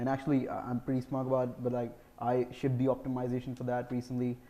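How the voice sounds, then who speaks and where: The man's pitch sits in the medium range. He talks at a fairly quick pace. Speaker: software engineer, conference speaker. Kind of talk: conference Q&A. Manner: fast.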